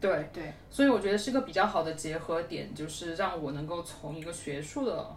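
A woman speaks with a fairly low pitch and lively intonation, her voice carrying audible room echo over noticeable background noise. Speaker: user research team lead, former PhD student. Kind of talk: casual chat. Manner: animated.

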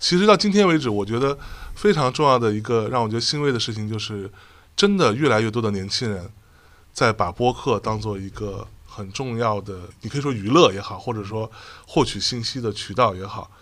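Speaking at a fairly quick pace, a man uses a normal speaking voice at medium pitch with ordinary pitch variation and big swings in loudness. The recording is very clean with a silent background. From Jiangsu, China. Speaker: podcast host and podcast network founder. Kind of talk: casual chat. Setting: live podcast event recording.

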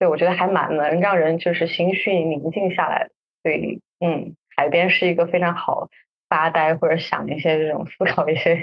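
A woman with a fairly low pitch talks at a moderate pace in a monotone, flat intonation, with big swings in loudness. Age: 30s. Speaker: podcast co-host. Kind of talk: casual chat. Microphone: backup recording, poor sound quality.

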